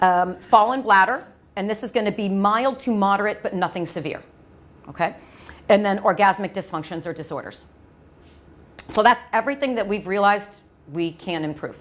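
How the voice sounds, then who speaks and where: Talking at a fairly quick pace, a woman uses ordinary pitch variation and leaves long, frequent pauses. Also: medium pitch for a woman. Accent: American. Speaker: medical device clinical trainer. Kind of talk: lecture. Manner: fast.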